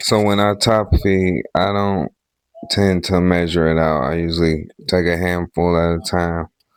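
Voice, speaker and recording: A man is speaking. His voice sits very deep and low. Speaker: home grower. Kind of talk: tutorial. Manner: casual.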